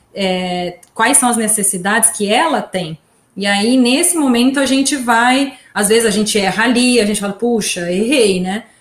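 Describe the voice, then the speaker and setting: Somewhat breathy, a woman talks at a moderate pace with a fairly high pitch and ordinary pitch variation. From Brazil, São Carlos. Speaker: podcast host, journalist. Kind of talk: casual chat.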